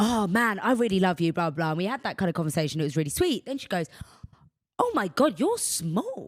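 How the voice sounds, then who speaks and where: A loud, animated woman's voice with very wide pitch swings. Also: medium pitch for a woman, fairly quick pace. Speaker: podcast host. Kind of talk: casual chat.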